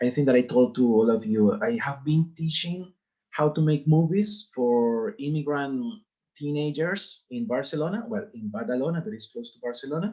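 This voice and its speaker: This man's voice is fairly high, somewhat breathy and dark and mellow in tone. His pitch swings very widely, and his loudness rises and falls sharply. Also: moderate pace. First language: Spanish. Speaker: teacher. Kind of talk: lecture. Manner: halting.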